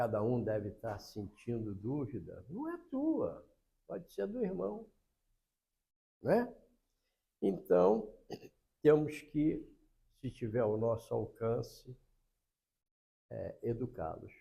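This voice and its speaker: The delivery is very slow, broken up by long, frequent pauses. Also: man. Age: 80s+. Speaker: spiritist lecturer. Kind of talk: religious lecture.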